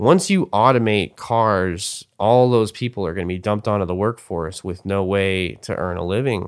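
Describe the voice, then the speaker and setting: A man's plain, everyday voice at a fairly low pitch, with ordinary pitch variation and a moderate pace. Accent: American. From US. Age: 30s. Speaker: rapper. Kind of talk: interview. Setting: at home.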